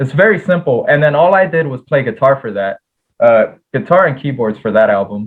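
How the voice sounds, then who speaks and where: A man speaks in a normal speaking voice at a fairly high pitch. His pace is fairly quick. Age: 20s. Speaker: rock band musician. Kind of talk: casual chat. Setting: podcast interview.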